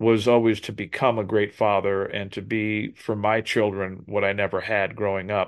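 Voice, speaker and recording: Here is a man with an unremarkable speaking voice and fairly low pitch. He keeps a moderate pace and fairly even intonation. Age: 60s. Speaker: drummer and motivational speaker. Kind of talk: interview.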